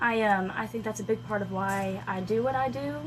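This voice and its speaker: In a room with audible echo and noticeable background noise, a woman speaks with a slight Southern US accent. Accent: slight Southern twang. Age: 20s. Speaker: country singer-songwriter. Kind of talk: radio interview. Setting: radio studio.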